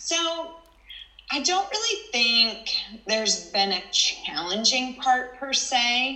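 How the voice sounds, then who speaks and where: A raised, projected voice with an American accent moves at a very slow pace, its pitch swinging very widely. Audible room echo and noticeable background noise surround it. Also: woman, high pitch for a woman. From Texas (Houston). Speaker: nurse. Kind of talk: interview.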